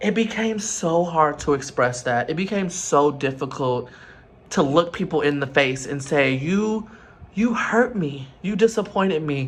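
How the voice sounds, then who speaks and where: This man has an unremarkable speaking voice at a fairly high pitch. His intonation is lively and his pace fairly slow. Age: 20s. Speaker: vlogger. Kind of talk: personal vlog monologue. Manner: earnest, emotional.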